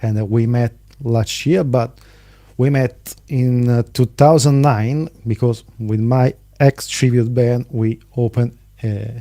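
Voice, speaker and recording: Speaking very slowly, a man with an Italian accent uses a dark, mellow tone and fairly even intonation. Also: medium pitch for a man, dry, close sound with no echo. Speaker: podcast host. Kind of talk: interview.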